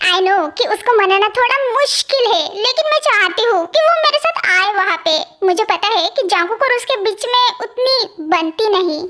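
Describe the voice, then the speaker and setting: A woman puts on a character voice with an extremely high pitch and lively intonation. She keeps a moderate pace and very even loudness. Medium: fan dub. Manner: soft, sweet.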